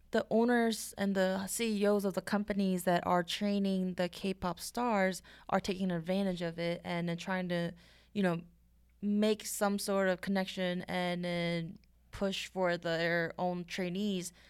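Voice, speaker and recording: A woman speaks very slowly in a medium pitch with a Korean accent and a monotone, flat intonation. The recording is very clean, with a silent background. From South Korea. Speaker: podcast co-host. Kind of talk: casual chat. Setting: studio.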